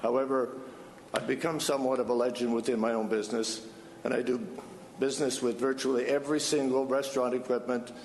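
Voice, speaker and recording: Fairly quick speech with fairly even intonation over noticeable background noise. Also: man. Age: 70s. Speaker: applicant at city council. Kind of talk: public hearing testimony. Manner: halting, many fillers.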